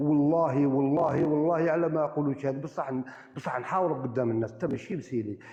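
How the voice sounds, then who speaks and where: Over noticeable background noise, a man with a fairly high voice talks at a moderate pace with hardly any pauses and ordinary pitch variation. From Algeria, Boumerdes area. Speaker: live-stream debater. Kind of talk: heated debate. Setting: live stream.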